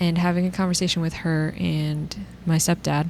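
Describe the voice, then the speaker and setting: With noticeable background noise behind her, a woman speaks at a moderate pace in a fairly low pitch with monotone, flat intonation. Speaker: podcast co-host. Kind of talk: casual chat.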